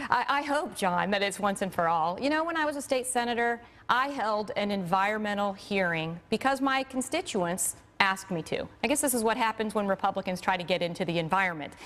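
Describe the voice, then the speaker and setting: Fairly quick, lively delivery from a woman at medium pitch. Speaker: physician and Senate candidate. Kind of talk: TV interview. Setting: studio. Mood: firm, indignant at times. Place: studio. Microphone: lapel.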